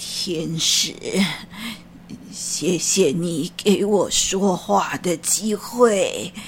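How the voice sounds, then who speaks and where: Clear background noise runs under a woman's voice. She talks at a very slow pace with long, frequent pauses. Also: medium pitch for a woman, ordinary pitch variation. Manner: humble, stammering, sighing.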